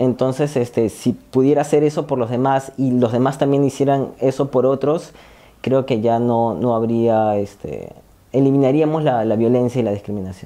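Keeping a very even loudness and fairly even intonation, a man speaks in a dark, mellow tone. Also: medium pitch for a man, moderate pace. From Peru, Lima; Peru. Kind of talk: testimony. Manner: halting, many fillers. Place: empty room. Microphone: lapel.

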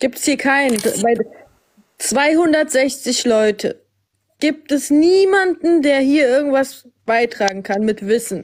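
A woman's high-pitched voice with lively intonation and very even loudness at a very slow pace, with long, frequent pauses. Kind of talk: heated debate. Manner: insistent.

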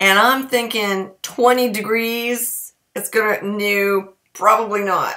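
A woman speaks at a very slow pace, her pitch varying in an ordinary way. Her tone is bright and sharp. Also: quiet background. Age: 50s. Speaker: community theatre actor. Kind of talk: casual talk to camera. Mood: wry, self-mocking. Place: kitchen. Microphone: webcam.

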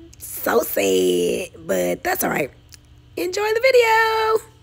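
Background noise is noticeable throughout. The woman's delivery is fairly slow. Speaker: lifestyle vlogger. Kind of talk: casual vlog chat; voiceover vlog narration. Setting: mall. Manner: casual, chatty.

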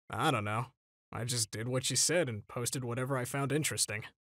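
A man does a put-on character voice, raspy and medium in pitch, at a very fast pace. The sound is dry and close with no echo, on a very clean recording with a silent background. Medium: dub. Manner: deadpan, low-energy.

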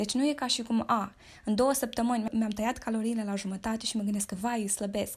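Somewhat breathy and animated, a woman speaks at a fairly quick pace in a fairly high pitch. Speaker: fitness influencer. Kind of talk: casual monologue.

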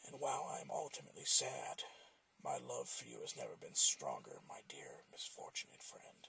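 A man whispers in a put-on character voice. He keeps a moderate pace. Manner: quiet, grave, tender yet ominous.

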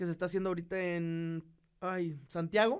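Against a quiet background, a man speaks with a northern Mexican accent. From northeastern Mexico. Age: 20s. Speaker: podcast guest, engaged partner; podcast guest. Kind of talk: casual chat. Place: studio. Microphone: studio mic.

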